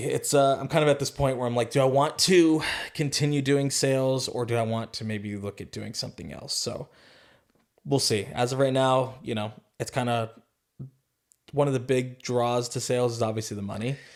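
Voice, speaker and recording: With a General American accent, a man talks at a moderate pace in a normal speaking voice of medium pitch and fairly even intonation. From Arizona. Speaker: sales professional. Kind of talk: interview answer.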